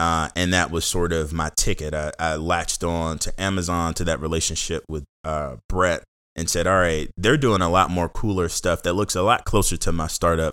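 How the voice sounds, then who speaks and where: In a very clean recording with a silent background, a man with an American accent and a very deep, low pitch talks in a bright, sharp tone with fairly even intonation and hardly any pauses. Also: moderate pace. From Washington DC area, Seat Pleasant, Maryland. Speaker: entrepreneur and corporate leader. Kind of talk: casual interview.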